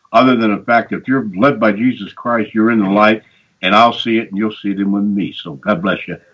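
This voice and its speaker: A man talks at a fairly quick pace in an unremarkable speaking voice, fairly low in pitch with fairly even intonation. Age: 60s. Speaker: regular caller on show. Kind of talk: casual chat.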